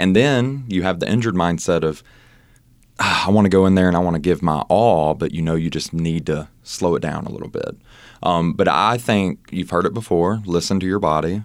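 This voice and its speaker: With a Southern US accent, a man speaks fairly quickly at a very deep, low pitch and ordinary pitch variation. The recording is very clean, with a silent background. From Mississippi, US South. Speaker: personal trainer. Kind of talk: casual interview. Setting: studio.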